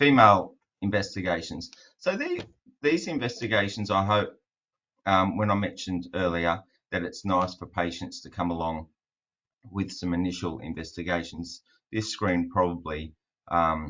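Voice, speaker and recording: A man with an Australian accent speaks in a very deep, low pitch. His pace is moderate, broken by long, frequent pauses. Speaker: fertility specialist doctor. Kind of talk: webinar presentation. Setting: online webinar. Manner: monotone.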